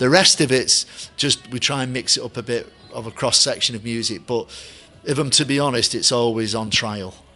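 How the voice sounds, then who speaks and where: With music in the background, a man speaks in a Mancunian accent with ordinary pitch variation. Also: moderate pace. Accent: deep Mancunian. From Manchester, England. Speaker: stadium announcer. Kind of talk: interview. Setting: hotel.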